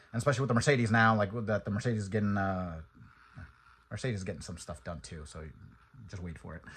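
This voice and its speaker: A man is mumbling. His voice is somewhat breathy. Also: quiet background. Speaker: car enthusiast vlogger. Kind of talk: casual vlog monologue.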